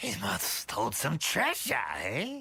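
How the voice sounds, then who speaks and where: A raspy, put-on character voice from a man. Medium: video game.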